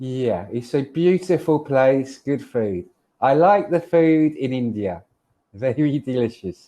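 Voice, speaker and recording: A man with a London accent speaks very slowly at a medium pitch. His tone is dark and mellow, and his intonation is lively. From London, England. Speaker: online English tutor. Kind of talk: casual tutoring conversation. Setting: video call.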